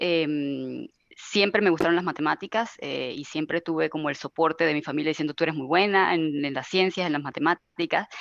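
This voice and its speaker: A woman speaks with a fairly low pitch and ordinary pitch variation. The sound is dry and close, with no echo. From Venezuela. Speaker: IT service manager. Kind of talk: webinar panel discussion. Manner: hesitant, many fillers.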